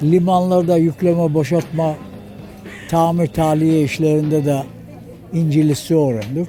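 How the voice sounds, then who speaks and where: A man's fairly high-pitched voice with ordinary pitch variation at a fairly slow pace, with music in the background. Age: 80s+. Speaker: retired sailor. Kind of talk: interview answer. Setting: outdoors.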